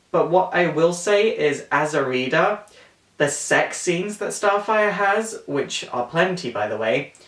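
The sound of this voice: A man speaks slowly, with lively intonation and a fairly bright tone. His voice carries audible room echo.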